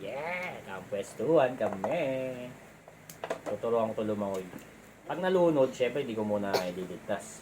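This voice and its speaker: Noticeable background noise surrounds a man with a medium pitch. He talks fairly slowly with lively intonation. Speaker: parent doing unboxing video with child. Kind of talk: casual chat.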